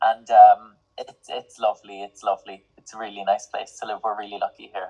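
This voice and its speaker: A man's fairly low, monotone, flat voice in an Irish accent at a fairly quick pace, dry and close with no echo, with big swings in loudness and music in the background. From Ireland. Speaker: singer-songwriter and music student. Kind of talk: interview.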